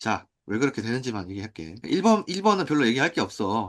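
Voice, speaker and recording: Very fast and with very wide pitch swings, a man speaks. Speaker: math teacher. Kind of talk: lecture. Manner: casual.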